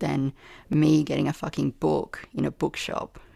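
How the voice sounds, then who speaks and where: Talking at a fairly slow pace, a woman is heard on a very clean recording against a silent background. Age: 40s. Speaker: poetry podcaster. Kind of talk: casual chat.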